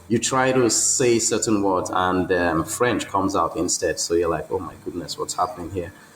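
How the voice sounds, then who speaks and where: Man talking at a moderate pace with hardly any pauses, amid noticeable background noise. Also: fairly low pitch for a man, ordinary pitch variation. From Nigeria. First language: a Nigerian language. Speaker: electrical engineer. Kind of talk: interview.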